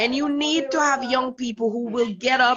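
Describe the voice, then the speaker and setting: A woman with a fairly high pitch and an ordinary speaking voice talks at a fairly slow pace. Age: 60s. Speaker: retreat leader. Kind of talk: casual chat.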